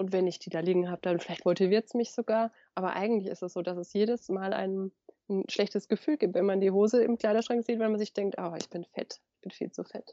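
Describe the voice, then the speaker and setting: At a very fast pace, a woman speaks at medium pitch in a dry, close sound with no echo. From Germany, Lower Franconia (Bavaria). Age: 30s. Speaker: author and sustainable fashion expert. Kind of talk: interview. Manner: animated; hesitant with fillers.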